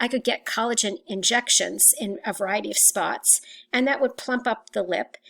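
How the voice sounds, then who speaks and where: A woman speaks at a moderate pace with vocal fry. Her pitch varies an ordinary amount. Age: 60s. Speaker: teacher. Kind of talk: lecture. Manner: halting.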